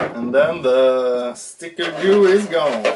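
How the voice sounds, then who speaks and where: With a Swedish accent, a man speaks at a very slow pace with lively intonation. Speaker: RC hobby YouTuber. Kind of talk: casual tutorial. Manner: animated.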